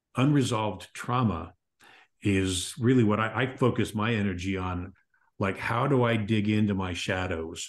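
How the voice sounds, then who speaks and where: A man's fairly low voice with ordinary pitch variation, at a fairly slow pace against a quiet background. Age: 60s. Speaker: author and podcast host. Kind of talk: interview conversation.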